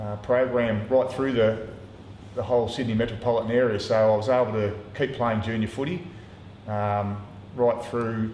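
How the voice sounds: In a room with audible echo, a man speaks at a fairly low pitch with a slightly mellow tone and fairly even intonation. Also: moderate pace.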